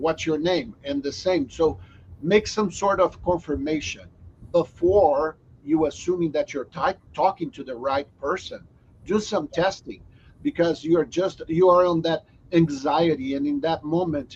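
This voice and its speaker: Speaking fairly slowly with a strong non-native accent, a man uses a fairly high pitch and ordinary pitch variation. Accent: strong foreign. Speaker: software company host. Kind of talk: company video chat.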